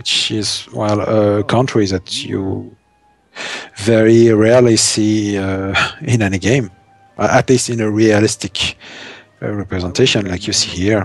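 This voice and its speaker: A man with a strong French accent speaks at a fairly slow pace and a fairly low pitch. His intonation is fairly even, with music in the background. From France. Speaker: game streamer. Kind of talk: live gameplay commentary. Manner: halting, frequent repetitions and fillers.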